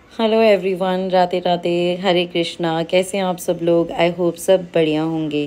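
A woman talks in a fairly low pitch with a dark, mellow tone. Her intonation is monotone and flat. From Himachal Pradesh, India (Sundernagar, Mandi district); Himachal Pradesh, India. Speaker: vlogger and housewife; vlogger. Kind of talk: direct-to-camera vlog appeal. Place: open country. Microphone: phone near.

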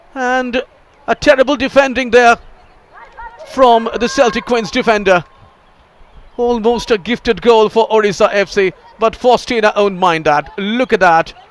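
A voice at a fairly slow pace with long, frequent pauses and ordinary pitch variation, recorded with a dry, close sound with no echo over noticeable background noise. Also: man. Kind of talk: live sports commentary.

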